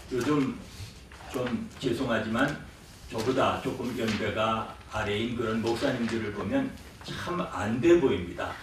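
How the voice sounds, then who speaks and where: Very slow speech from a man, noticeable background noise, audible room echo. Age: 60s. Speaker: pastor. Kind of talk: conference presentation.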